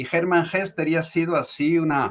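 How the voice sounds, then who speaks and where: A man speaks in a Spanish accent with a fairly high pitch. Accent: Spanish accent in Portuguese, noticeable. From Spain (born Morocco). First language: Spanish (speaking Portuguese). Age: 70s. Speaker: tarot reader, teacher and author. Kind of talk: interview. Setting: live video call.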